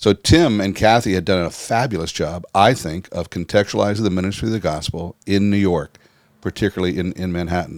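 On a very clean recording with a silent background, a man with an American accent and a very deep, low pitch speaks at a fairly quick pace with ordinary pitch variation. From United States. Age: 60s. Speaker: pastor and church-planting leader. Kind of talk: interview. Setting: studio. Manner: halting.

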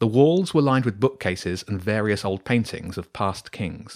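Lively intonation marks this delivery. It is a natural reading voice.

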